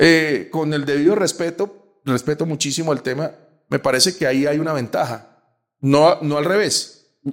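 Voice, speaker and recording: A man with a plain, everyday voice talks at a moderate pace, fairly high in pitch, with ordinary pitch variation. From Colombia. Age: 50s. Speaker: sports journalist. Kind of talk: casual interview. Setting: in person in Bogotá.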